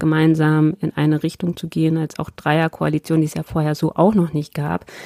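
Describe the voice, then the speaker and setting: A woman talks at a moderate pace in a very deep, low pitch. Her tone is dark and mellow, and the sound is dry and close with no echo. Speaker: member of parliament. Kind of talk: interview. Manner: hesitant, many fillers.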